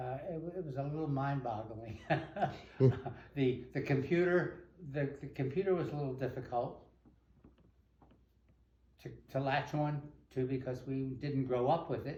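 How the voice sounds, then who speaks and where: A man speaks at a fairly slow pace with a fairly high pitch and a dark, mellow tone. His voice is somewhat breathy, with fairly even intonation and long, frequent pauses. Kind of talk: interview answer.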